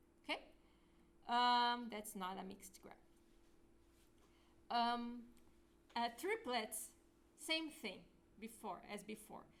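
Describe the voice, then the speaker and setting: At a very slow pace and with long, frequent pauses, a woman speaks in a high voice whose loudness swings widely. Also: ordinary pitch variation. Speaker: lecturer. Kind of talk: lecture.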